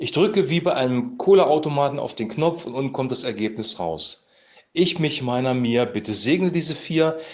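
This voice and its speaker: Speaking in a plain, everyday voice, a man uses a fairly high pitch, lively intonation and a moderate pace. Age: 50s. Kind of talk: devotional talk, sermon-like monologue.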